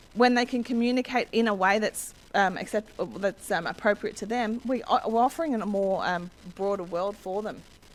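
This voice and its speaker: Here is a woman with an Australian accent. Her pitch is fairly high. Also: ordinary pitch variation. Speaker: education consultant. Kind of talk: presentation. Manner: fast; halting.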